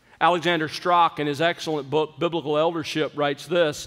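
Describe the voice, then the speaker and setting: A man with a high pitch speaks against a quiet background. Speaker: preacher. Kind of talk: sermon. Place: church. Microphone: podium.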